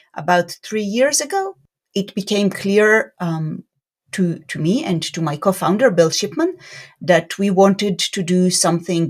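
A woman speaks at a fairly slow pace, her voice somewhat breathy. The recording is very clean, with a silent background. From southern Israel (Beersheba). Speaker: tech company CEO and chemist. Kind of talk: interview.

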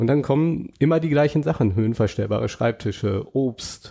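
The man's dark, mellow voice shows ordinary pitch variation against a quiet background. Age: 40s. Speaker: bank employee representative. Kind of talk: interview. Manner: hesitant, many filler sounds.

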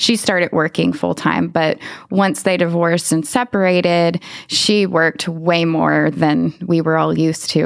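With an American accent, a woman speaks at a fairly low pitch and a moderate pace. Her pitch varies in an ordinary way while her loudness stays very even. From Texas, Lubbock. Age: 30s. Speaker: survivor of child exploitation, nonprofit director. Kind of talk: interview testimony. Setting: studio. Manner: halting.

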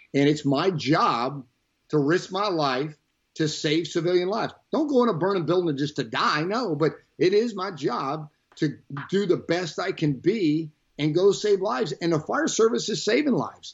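Lively intonation from a man, pitched high. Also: moderate pace. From US South, Florida panhandle. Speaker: fire battalion chief. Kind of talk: casual interview.

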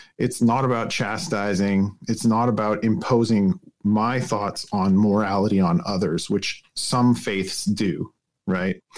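Speaking in a plain, everyday voice, a man has a Canadian accent. He goes at a fairly slow pace with ordinary pitch variation. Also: fairly low pitch for a man. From Canada, British Columbia (Vancouver suburbs). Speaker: pastor in recovery. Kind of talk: interview conversation.

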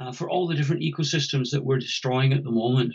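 Somewhat breathy, a man with a Scottish accent talks with fairly even intonation. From Scotland. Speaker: ecologist and conservation charity founder. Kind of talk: interview.

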